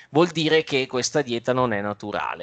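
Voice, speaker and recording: Using an ordinary speaking voice, a man talks at medium pitch with ordinary pitch variation. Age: 30s. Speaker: trader and youtuber. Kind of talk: interview.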